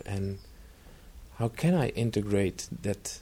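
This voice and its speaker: This man has a fairly low pitch and a dark, mellow tone that is somewhat breathy. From Netherlands. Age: 40s. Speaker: retreat center trainer and coach. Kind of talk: interview.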